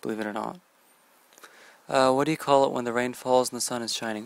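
Here a man speaks fairly quickly in a relaxed tone with fairly even intonation, the sound dry with no echo. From British Columbia, Canada. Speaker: vlogger. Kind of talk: casual talk to camera, word list reading. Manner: casual, relaxed. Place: home room. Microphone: earbuds.

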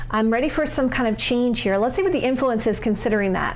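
Talking at a fairly quick pace, a woman with a high pitch shows ordinary pitch variation over light background noise. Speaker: tarot reader. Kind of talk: tarot reading commentary. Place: home room.

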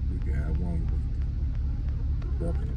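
A man is speaking. Loud background noise is present. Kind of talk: casual vlog chat. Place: car. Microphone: phone near.

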